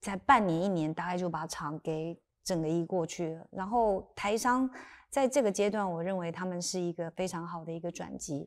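A woman's pitch varies in an ordinary way while the background stays quiet. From Taiwan, Sanxia (New Taipei); Taiwan. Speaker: lawyer turned tech company chairwoman. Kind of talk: interview conversation. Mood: calm, thoughtful. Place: studio. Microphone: lapel.

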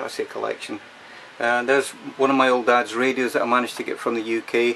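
A man talks at a moderate pace while light background noise is present. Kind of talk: casual vlog chat. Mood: relaxed, chatty. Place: workshop. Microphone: phone near.

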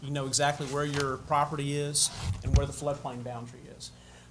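Against noticeable background noise, a man with a Southern US accent and a fairly high pitch speaks at a moderate pace with fairly even intonation. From US South. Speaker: city planner; presenter. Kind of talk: report to city board. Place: meeting room. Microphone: podium.

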